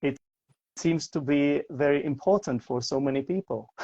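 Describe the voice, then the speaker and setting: A man with a slight non-native accent speaks at a fairly slow pace in a fairly high pitch and a dark, mellow tone, with a dry, close sound and no echo. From Czech Republic, Prague. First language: Czech. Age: 40s. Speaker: English teacher. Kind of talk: casual interview. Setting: livestream video call. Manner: halting, many repetitions.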